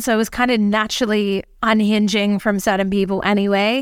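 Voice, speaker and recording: Here is a woman with an Australian accent. The recording is very clean, with a silent background. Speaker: empowerment mentor and podcaster. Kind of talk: casual interview chat.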